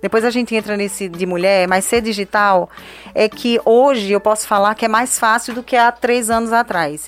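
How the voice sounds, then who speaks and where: Speaking at a moderate pace, a woman has an ordinary speaking voice, fairly high in pitch with fairly even intonation. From Brazilian Northeast, Juazeiro (Bahia). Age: 30s. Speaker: digital influencer and entrepreneur. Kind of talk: interview.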